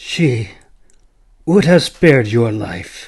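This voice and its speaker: A man puts on a raspy character voice. His pitch swings very widely. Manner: solemn.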